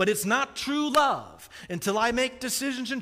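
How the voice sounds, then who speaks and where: A raised, projected voice with a bright, sharp tone speaks at a moderate pace with an American accent. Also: man. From US Midwest, Kansas City. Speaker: pastor. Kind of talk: sermon.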